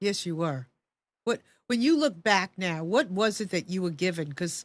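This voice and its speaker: In an unremarkable speaking voice, a woman speaks at medium pitch and a moderate pace with lively intonation, in a very clean recording with a silent background. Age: 60s. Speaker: talk show host. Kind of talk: interview conversation.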